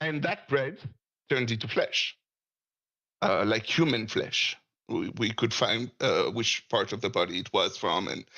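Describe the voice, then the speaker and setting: This is a man with a French accent. He talks at a moderate pace. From France. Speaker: caller. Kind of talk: casual discussion. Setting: Discord voice call. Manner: halting.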